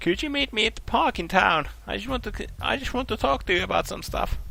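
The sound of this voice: This put-on character voice moves fast, with vocal fry, a bright, sharp tone and lively intonation. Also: man, high pitch for a man.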